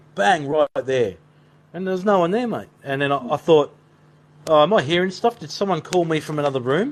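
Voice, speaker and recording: With an Australian accent, a man speaks at a fairly quick pace and fairly high pitch, his intonation lively. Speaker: paranormal investigator. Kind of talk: live stream chat. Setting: live stream. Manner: fast.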